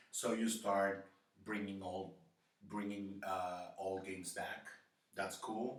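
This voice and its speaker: A man with a non-native accent speaks at a very slow pace in a fairly low pitch. Room echo is audible. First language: not English. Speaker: gaming YouTuber. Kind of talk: opinion monologue. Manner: hesitant, with fillers.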